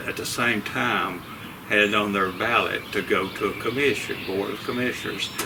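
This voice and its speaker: A man with a Southern US accent speaks at a moderate pace in a fairly low pitch with ordinary pitch variation, over noticeable background noise and audible room echo. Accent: Southern US (Georgia). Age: 70s. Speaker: local political candidate. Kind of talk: interview.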